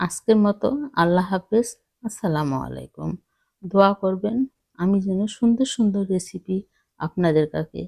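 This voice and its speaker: The tone is dark and mellow. The sound is dry and close, with no echo. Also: woman, medium pitch for a woman, ordinary pitch variation. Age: old. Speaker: cooking YouTuber. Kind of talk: talking-head vlog. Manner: halting.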